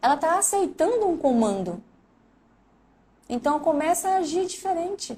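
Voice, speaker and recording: A woman's dark, mellow tone with very wide pitch swings at a moderate pace. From Brazil, Mato Grosso do Sul. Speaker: recruiter and career coach. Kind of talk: live stream talk.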